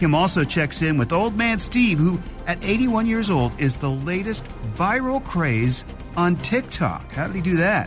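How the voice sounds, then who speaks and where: Very wide pitch swings mark this fairly slow speech, with music in the background. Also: man. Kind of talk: podcast intro narration.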